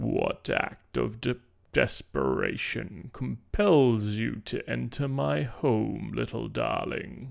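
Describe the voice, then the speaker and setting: This put-on character voice sounds croaky. It moves at a very slow pace. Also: man. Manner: menacing, sly.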